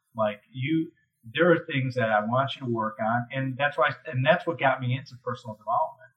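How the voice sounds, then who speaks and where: At a fairly quick pace, a man with an American accent talks in a medium pitch with ordinary pitch variation. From US Midwest, Chicago area (Highland Park, Illinois). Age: 50s. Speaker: commercial real estate investor and CEO. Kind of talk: interview conversation.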